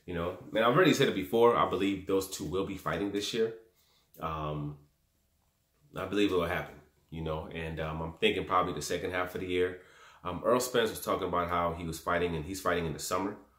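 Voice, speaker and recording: A man with a very deep, low pitch talks at a very fast pace, with audible room echo over a quiet background. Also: ordinary pitch variation. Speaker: boxing commentator vlogger. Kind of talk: commentary. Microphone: phone near.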